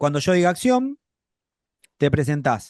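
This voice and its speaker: A man at a moderate pace, high-pitched, with very wide pitch swings. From Buenos Aires, Argentina. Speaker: acting teacher. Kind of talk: online acting class.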